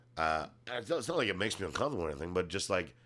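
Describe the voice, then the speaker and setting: His pitch is very deep and low, with vocal fry running through it. This man's voice also makes very wide pitch swings. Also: very clean recording, silent background. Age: 40s. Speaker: comedian and actor. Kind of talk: casual chat.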